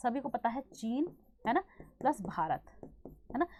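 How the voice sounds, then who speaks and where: A woman speaks loud at a high pitch. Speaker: online exam-prep teacher. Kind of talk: online class lecture.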